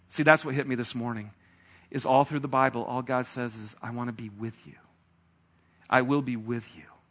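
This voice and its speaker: A man at medium pitch and fairly quick pace, with long, frequent pauses, big swings in loudness and a quiet background. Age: 40s. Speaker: pastor. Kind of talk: sermon. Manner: animated.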